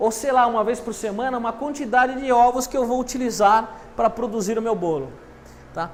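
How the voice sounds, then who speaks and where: Amid audible room echo, a man talks at a moderate pace in an extremely high pitch. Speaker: university lecturer. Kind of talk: lecture.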